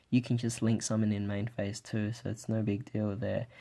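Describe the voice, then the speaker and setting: Speaking softly at a moderate pace, a man with a medium-pitched voice and a dark, mellow tone keeps a flat, monotone intonation on a very clean recording with a silent background. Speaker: card game deck reviewer. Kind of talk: casual talk to camera. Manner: soft-spoken; quiet, keeping voice down.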